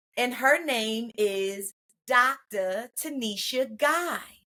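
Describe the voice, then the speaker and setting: With an American accent, a woman speaks in a raised, projected voice full of very wide pitch swings. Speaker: podcast host, mental health clinician. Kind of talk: casual podcast chat. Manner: animated; halting with fillers.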